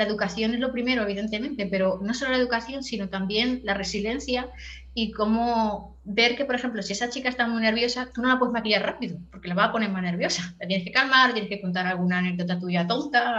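A woman talks at a very fast pace with ordinary pitch variation. Noticeable background noise can be heard. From Catalonia, Spain (Tarragona area). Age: 40s. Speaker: professional makeup artist. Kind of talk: casual interview chat.

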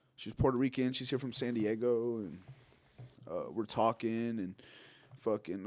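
A man with an unremarkable speaking voice talks at a medium pitch and fairly quick pace, with fairly even intonation, on a very clean recording with a silent background. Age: 20s. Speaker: podcast co-host, musician. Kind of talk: casual chat.

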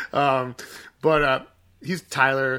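Speaking at a medium pitch, a man uses a bright, sharp tone with ordinary pitch variation. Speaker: singer and songwriter in a band. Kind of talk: casual chat. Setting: remote recording.

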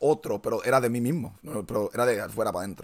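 A man with a Puerto Rican accent speaks at a fairly quick pace in a medium pitch, his intonation lively, on a very clean recording with a silent background. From Puerto Rico. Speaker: podcast host. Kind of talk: casual chat.

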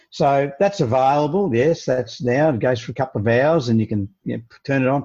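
The voice has a dark, mellow tone and an Australian accent. The background is quiet. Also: man. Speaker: leadership coach. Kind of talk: interview.

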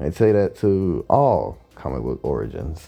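Someone talks at a fairly slow pace while music plays in the background. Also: man. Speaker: podcast host and artist. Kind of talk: solo monologue podcast. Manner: casual, with fillers and laughter.

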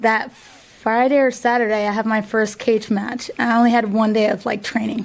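The voice is monotone and flat, with very even loudness, over noticeable background noise. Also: woman, fairly high pitch for a woman, moderate pace, hardly any pauses. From northwest Ohio, US (Findlay/Fostoria). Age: 30s. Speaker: MMA fighter and gym owner. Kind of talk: casual interview. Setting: studio.

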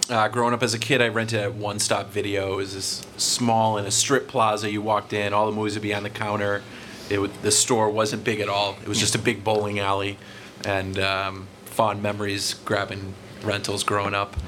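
Against noticeable background noise, a man with an American accent talks at a moderate pace. His pitch is fairly low and his intonation monotone and flat. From North Reading, Massachusetts. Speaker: former video store manager. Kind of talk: live podcast panel chat. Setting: stage with audience.

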